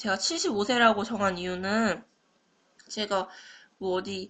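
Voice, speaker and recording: A woman's fairly high voice, bright and sharp in tone, at a fairly slow pace. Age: 20s. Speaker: university student. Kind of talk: class presentation. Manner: halting.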